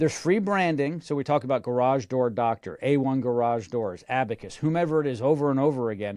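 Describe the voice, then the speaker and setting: Animated and fairly quick, a man talks with hardly any pauses, his medium-pitched voice showing ordinary pitch variation. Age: 50s. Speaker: radio host and marketing consultant. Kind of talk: interview.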